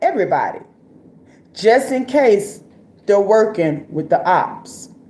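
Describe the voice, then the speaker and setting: Audible room echo around a woman's very slow delivery. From Florida. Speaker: live-stream commentator. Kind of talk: casual live-stream commentary. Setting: live stream. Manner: casual, conversational with frequent fillers.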